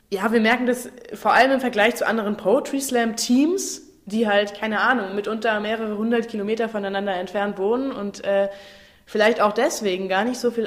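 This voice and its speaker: Over noticeable background noise, a woman with a fairly high voice talks at a fairly quick pace with fairly even intonation. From Saarland, Germany. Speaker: actress and slam/cabaret performer. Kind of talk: casual interview.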